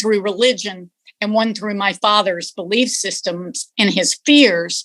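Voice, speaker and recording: Recorded with a dry, close sound and no echo, a woman with a Texan accent talks at a fairly slow pace with ordinary pitch variation. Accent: Texan Southern US. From East Texas. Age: 60s. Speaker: interviewee. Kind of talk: interview, personal reflection.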